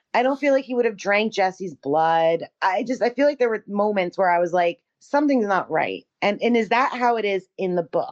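A woman talks in a normal speaking voice at a medium pitch with lively intonation. She keeps a moderate pace with hardly any pauses. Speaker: podcast co-host. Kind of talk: casual chat.

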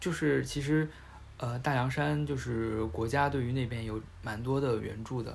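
Audible room echo surrounds a man's somewhat breathy voice. He talks at a fairly slow pace with long, frequent pauses. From Hubei. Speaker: podcast host. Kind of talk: casual chat.

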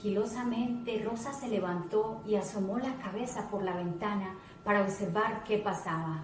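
Ordinary pitch variation throughout plain reading aloud.

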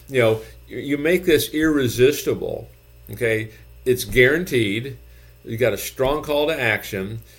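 Vocal fry runs through this voice, which keeps a moderate pace and ordinary pitch variation. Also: man. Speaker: gym business consultant. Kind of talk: infomercial-style sales pitch with calls to action. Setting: YouTube video channel, solo talk to camera. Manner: repeats phrases for emphasis, pitchy and persuasive.

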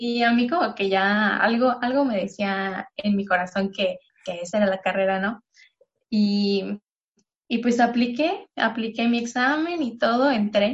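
This woman's voice is somewhat breathy, and she keeps a fairly slow pace. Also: fairly high pitch for a woman, ordinary pitch variation. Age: 20s. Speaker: environmental engineering graduate and eco-product entrepreneur. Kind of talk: interview.

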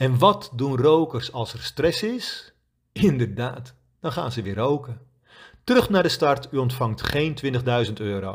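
Somewhat breathy and medium in pitch, a man speaks at a fairly slow pace with lively intonation. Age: 50s. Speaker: quit-smoking coach. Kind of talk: scripted narration.

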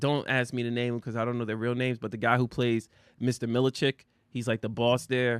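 A man speaks with a dry, close sound that has no echo, against a quiet background. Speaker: internet radio show co-host. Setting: studio. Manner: loud, voice carries.

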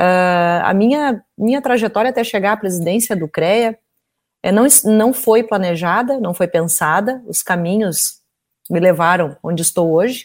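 A woman with a southern Brazilian accent at a medium pitch, with ordinary pitch variation and a fairly slow pace. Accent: gaúcho Brazilian Portuguese. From Porto Alegre, Brazil. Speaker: engineer and president of engineering council. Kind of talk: live interview discussion. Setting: online live stream.

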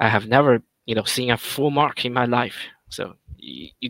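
The voice carries a non-native accent, a bright, sharp tone and vocal fry. Its sound is dry and close, with no echo. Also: man. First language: not English. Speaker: gaming alliance leader. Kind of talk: casual chat. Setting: late-night online call.

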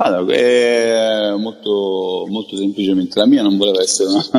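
Over noticeable background noise, a man speaks. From Crotone, Calabria, Italy. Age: 40s. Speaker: international tourism expert. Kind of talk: interview. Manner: halting, with frequent repetitions.

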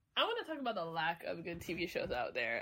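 Vocal fry runs through this woman's voice. She talks at a fairly quick pace with very wide pitch swings. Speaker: podcast co-host. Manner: hyperactive, energetic.

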